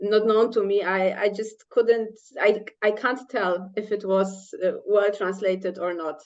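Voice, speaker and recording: A woman's medium-pitched voice with a Polish accent at a fairly slow pace. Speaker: scientist and author. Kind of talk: panel discussion. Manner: halting.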